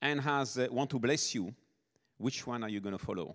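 A man with a French accent is heard in a very clean recording against a silent background. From southern France, Nice. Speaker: missionary. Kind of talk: sermon.

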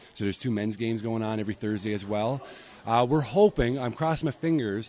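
At a very fast pace, a man speaks in a medium pitch. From Newfoundland, Canada (Corner Brook). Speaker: sports association president. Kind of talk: interview.

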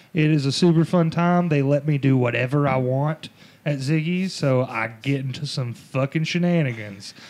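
Pitched fairly high, a man speaks at a moderate pace with ordinary pitch variation in a plain, everyday voice. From US South. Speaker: comedian. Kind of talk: casual chat.

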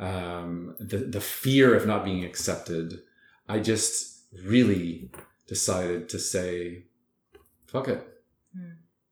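A man with a fairly low voice speaks at a fairly slow pace, using ordinary pitch variation, big swings in loudness and long, frequent pauses, with audible room echo. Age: 40s. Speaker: fitness and wellness entrepreneur. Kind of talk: interview.

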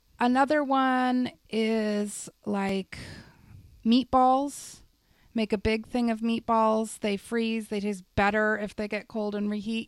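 A woman speaks in a normal speaking voice, fairly high in pitch with fairly even intonation. The recording is very clean with a silent background and a dry, close sound with no echo. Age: 30s. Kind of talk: casual chat.

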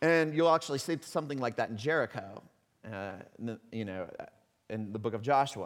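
Speaking at a fairly quick pace with long, frequent pauses, a man at medium pitch uses lively intonation and has a slight Texan accent. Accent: slight Texan twang. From Texas. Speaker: pastor. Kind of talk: sermon. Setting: church.

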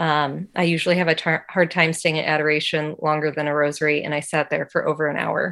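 A woman speaks at a moderate pace in a fairly low pitch with monotone, flat intonation. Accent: American. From Indiana, US Midwest. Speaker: faith testimony guest. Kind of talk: testimony.

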